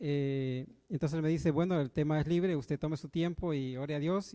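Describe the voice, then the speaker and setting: Heard on a very clean recording with a silent background, a man with a fairly high pitch and a dark, mellow tone speaks at a moderate pace with ordinary pitch variation. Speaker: church elder, preacher. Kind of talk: sermon. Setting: church with congregation. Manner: halting, many fillers.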